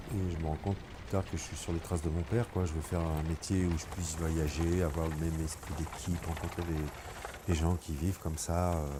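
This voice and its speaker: At a moderate pace and with hardly any pauses, a man with a very deep, low pitch speaks in a monotone, flat way against noticeable background noise. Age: 60s. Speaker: retired carpenter. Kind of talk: testimony. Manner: halting.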